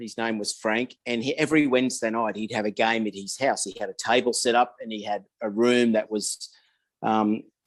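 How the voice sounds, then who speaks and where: Monotone, flat intonation at a moderate pace. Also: man. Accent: Australian. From Australia (Sydney, Blacktown). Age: 60s. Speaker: wargaming hobbyist. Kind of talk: casual interview chat.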